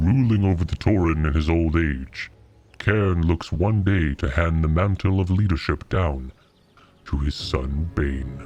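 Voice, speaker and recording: A man puts on a character voice, pitched very deep and low, and keeps to a moderate pace. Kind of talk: video game lore narration.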